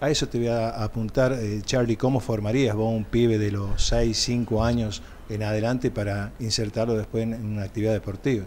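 A man's flat, monotone voice at a moderate pace, with hardly any pauses and light background noise. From Córdoba, Argentina. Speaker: sports TV co-host. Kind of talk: interview questions on live TV. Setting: TV studio. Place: studio. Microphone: podium.

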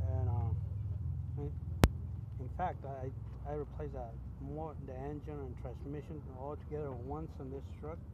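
A man speaks fairly slowly, the sound dry with no echo, while loud noise runs in the background. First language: Spanish. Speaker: truck driver vlogger. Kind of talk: casual vlog monologue. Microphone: phone near.

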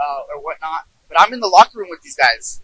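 A man with an American accent talks at a fairly quick pace, his voice dry with no echo. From US, Yuba City California, Mexican family; California. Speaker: kabaddi player. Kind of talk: interview. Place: open country. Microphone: handheld.

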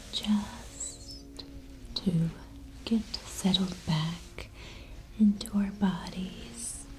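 Very slow speech over clear music in the background. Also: woman. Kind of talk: soft-spoken relaxation roleplay. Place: home room.

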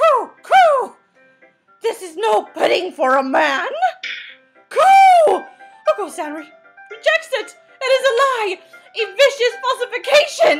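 A put-on character voice shouts with long, frequent pauses. Faint music plays in the background. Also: fairly slow pace. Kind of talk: comic overacting. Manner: hyper, theatrical, shouting, repeated cooing.

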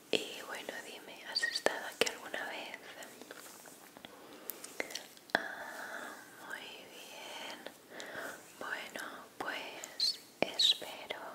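A woman whispers at a very slow pace in a gentle, soothing tone. Loud background noise runs behind her. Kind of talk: soft role-play talk to viewer. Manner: gentle, soothing ASMR whisper. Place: home room. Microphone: studio mic.

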